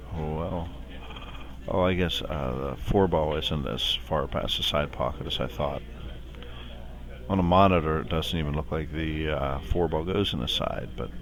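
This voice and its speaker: With audible room echo, a man with a very deep, low voice talks at a moderate pace, using ordinary pitch variation and long, frequent pauses. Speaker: pool commentator. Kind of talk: live commentary. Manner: soft-spoken. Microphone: too quiet.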